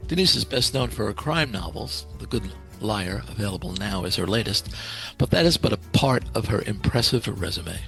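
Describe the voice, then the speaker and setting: A man with a fairly low pitch speaks at a moderate pace, his pitch swinging very widely, with music playing in the background. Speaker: podcast host. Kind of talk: podcast intro read.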